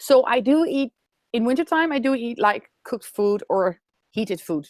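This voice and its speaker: A woman with a Dutch accent speaks at a moderate pace in a high voice, her pitch swinging very widely, recorded in a dry, close sound with no echo. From Netherlands. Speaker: raw food expert. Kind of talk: webinar interview. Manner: halting.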